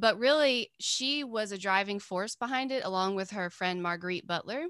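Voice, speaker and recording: Here a woman with an Appalachian accent speaks at a medium pitch in a bright, sharp tone with ordinary pitch variation. The recording is very clean, silent in the background, and dry and close with no echo. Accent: Southern Appalachian American. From US South, mountains of North Carolina. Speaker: artist and teacher. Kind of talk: casual interview.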